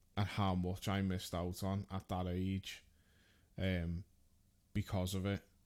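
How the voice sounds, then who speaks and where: In a very clean recording with a silent background, a man with a very deep, low pitch talks at a fairly slow pace in a monotone, flat delivery, keeping his loudness very even and leaving long, frequent pauses. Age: 30s. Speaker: podcast host. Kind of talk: casual chat.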